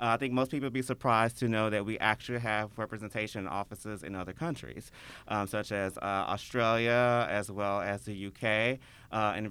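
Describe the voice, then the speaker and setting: On a very clean recording with a silent background, a man with a Memphis accent speaks at a fairly quick pace, with a fairly low pitch, a bright, sharp tone and fairly even intonation. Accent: Memphis Southern US. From Memphis, Tennessee (Whitehaven). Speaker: tourism promoter. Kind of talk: casual interview chat.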